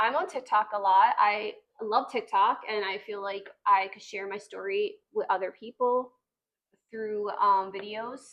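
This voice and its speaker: A plain, everyday voice from a woman, fairly high in pitch, fairly slow, with fairly even intonation and big swings in loudness. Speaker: podcast co-host, sister. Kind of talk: podcast introduction, casual talk.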